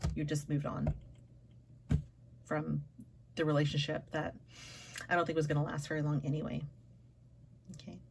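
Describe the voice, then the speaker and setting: Delivery is fairly quick with long, frequent pauses. The intonation is flat and monotone, with vocal fry. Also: woman, very deep, low pitch for a woman. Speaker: tarot reader. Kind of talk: tarot reading. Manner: halting, stumbling over words.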